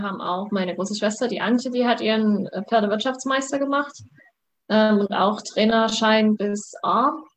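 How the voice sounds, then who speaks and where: Here is an ordinary speaking voice at a moderate pace with fairly even intonation. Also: woman. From Saxony, Germany (Vogtland). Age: 20s. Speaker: student and competitive eventing rider. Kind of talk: interview. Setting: video call.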